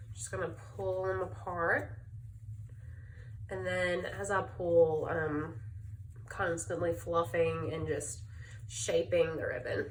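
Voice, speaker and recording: A woman speaks very slowly in a Southern US accent, leaving long, frequent pauses. Noticeable background noise and audible room echo fill the recording. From US South, Birmingham, Alabama. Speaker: crafter, speech-language pathologist. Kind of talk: tutorial. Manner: casual, hesitant with fillers.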